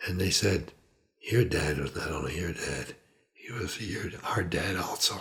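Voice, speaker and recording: A man talks at a fairly slow pace with vocal fry. His pitch is very deep and low, with ordinary pitch variation. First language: Italian. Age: 80s+. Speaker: retired physician. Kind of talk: life story interview. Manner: conversational, with hesitations.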